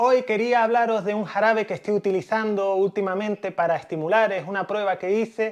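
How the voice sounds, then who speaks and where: A man's high-pitched voice at a fairly quick pace. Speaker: beekeeper. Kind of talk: tutorial.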